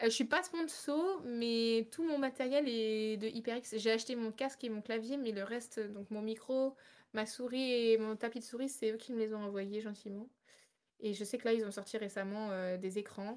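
A normal speaking voice from a woman, fairly high in pitch, with ordinary pitch variation at a moderate pace. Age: 20s. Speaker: streamer. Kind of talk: casual chat.

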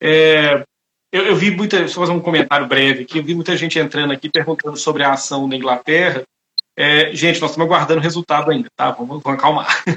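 A man's fairly high voice rushes along very quickly, its pitch rising and falling in a normal way. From Brazil, Itabira (Minas Gerais). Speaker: lawyer, webinar host. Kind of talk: live online talk, interview. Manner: halting, many fillers.

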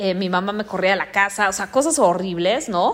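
Her tone animated and her intonation lively, a woman speaks at a fairly slow pace. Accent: Mexican. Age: 30s. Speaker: podcast host and life coach. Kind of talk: motivational monologue.

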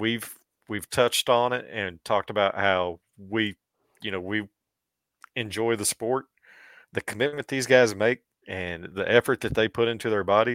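A man with a fairly low voice and an American accent talks at a moderate pace with ordinary pitch variation. The sound is dry and close with no echo, on a very clean recording with a silent background. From Missouri (southwest). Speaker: podcast co-host. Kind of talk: casual chat. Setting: studio.

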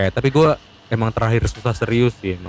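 Noticeable background noise surrounds a man who speaks with a fairly low pitch and lively intonation. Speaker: student guest. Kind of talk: casual chat.

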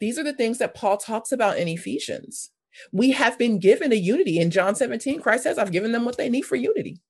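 With an American accent, a woman speaks very fast in a fairly high pitch against a quiet background. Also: lively intonation. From US West Coast, South Los Angeles. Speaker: ministry leader and former missionary. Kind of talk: podcast interview.

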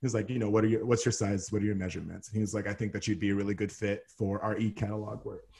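A man's very fast, somewhat breathy delivery with an American accent, fairly low pitch, a dark, mellow tone and hardly any pauses. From Texas. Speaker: model and TV host. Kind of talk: casual interview chat. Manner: animated, big personality.

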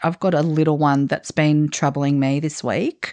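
A woman with an Australian accent speaks in a fairly low pitch, her voice dry and close with no echo over a quiet background. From Australia, Italian background. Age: 40s. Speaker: podcast host. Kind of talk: casual chat.

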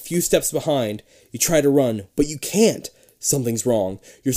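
Lively intonation shapes this unforced reading voice.

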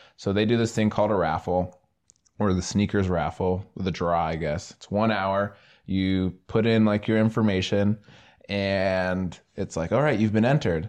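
A man talks in an ordinary speaking voice at a moderate pace against a quiet background. His pitch is fairly low and his intonation fairly even. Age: young (18-20s). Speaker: podcast host. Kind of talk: casual chat.

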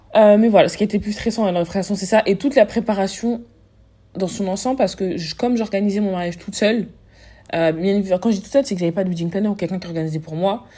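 Very fast and somewhat breathy, a woman speaks at a medium pitch with a dark, mellow tone and ordinary pitch variation on a very clean recording with a silent background. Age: 20s. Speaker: podcaster and business owner. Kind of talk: casual chat.

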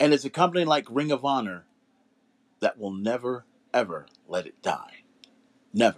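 At a moderate pace and medium pitch, a man speaks with very wide pitch swings, big swings in loudness and long, frequent pauses, in a dry, close sound with no echo. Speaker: podcast host. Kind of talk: casual podcast monologue, hyped-up wrestling talk. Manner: animated; boastful, repetitive.

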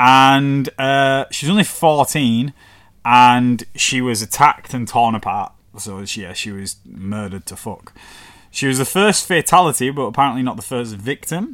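A man with a northern English accent speaks at a moderate pace in a medium pitch, his intonation lively. The recording is very clean, with a silent background. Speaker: podcast host. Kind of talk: casual podcast storytelling. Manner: casual, swearing, chatty.

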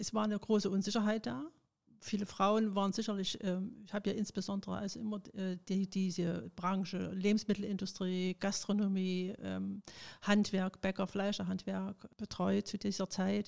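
A woman with a plain, everyday voice speaks at a moderate pace and medium pitch, her intonation fairly even, in a very clean recording with a silent background. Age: 60s. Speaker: retired trade union official. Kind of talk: interview.

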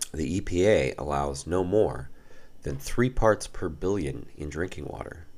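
A man's very deep, low voice with vocal fry, lively intonation and a fairly slow pace. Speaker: podcast host on occult and mythology. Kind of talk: scripted narration.

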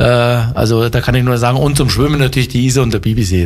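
A man talks at a medium pitch with noticeable background noise behind him. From Upper Bavaria, Germany. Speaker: former football player and coach. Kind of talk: interview. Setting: studio. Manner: hesitant, many fillers.

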